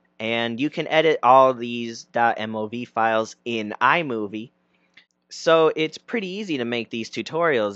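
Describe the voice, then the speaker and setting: Dry, close sound with no echo carries a man's medium-pitched voice. He shows ordinary pitch variation over a quiet background. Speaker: YouTube tutorial creator. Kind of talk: tutorial. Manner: loud. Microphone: external mic close to mouth.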